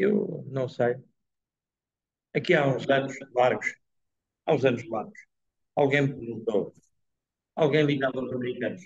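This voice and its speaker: The voice is somewhat breathy, moving at a fairly slow pace with long, frequent pauses. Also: man, medium pitch for a man, ordinary pitch variation. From Portugal. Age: 80s. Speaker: professor giving a talk. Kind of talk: talk and Q&A at a dinner. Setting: dinner event with live audience.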